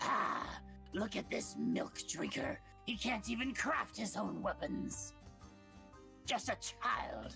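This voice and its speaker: A loud, gravelly, put-on character voice that sounds female, delivered at a very slow pace with long, frequent pauses. Clear music plays in the background. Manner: mocking, taunting.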